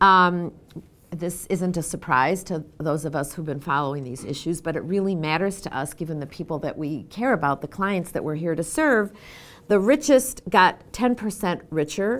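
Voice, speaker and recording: Recorded very cleanly against a silent background, a woman with a plain, everyday voice speaks at a fairly low pitch and moderate pace with lively intonation. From US Northeast, Boston. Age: 60s. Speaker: former government official and social work fellow. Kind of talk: lecture.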